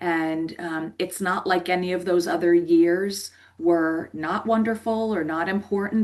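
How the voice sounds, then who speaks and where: Against a quiet background, a woman with an American accent uses a plain, everyday voice at a medium pitch, her intonation fairly even. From US Northeast, New Jersey. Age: 50s. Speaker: life coach. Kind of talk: podcast interview.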